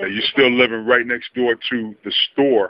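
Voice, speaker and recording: A man speaks with an American accent at a moderate pace. It is an ordinary speaking voice with ordinary pitch variation. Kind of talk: casual interview questions. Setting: outdoors.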